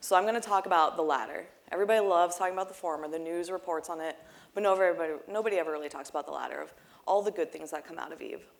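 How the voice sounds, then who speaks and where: At a very fast pace, a woman with a fairly low pitch talks in fairly even intonation, her loudness swinging widely. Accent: American. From United States. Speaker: game streamer and charity organizer. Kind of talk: conference talk. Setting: stage with audience.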